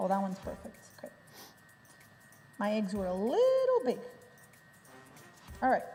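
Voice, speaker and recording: Music plays behind a woman speaking at a moderate pace. She leaves long, frequent pauses, and her loudness swings widely. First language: Portuguese. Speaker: cooking show co-host. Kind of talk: cooking demonstration.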